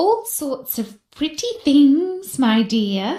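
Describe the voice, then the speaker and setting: Speaking very slowly in a high-pitched put-on character voice, a woman swings her pitch very widely. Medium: read story. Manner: falsely sweet.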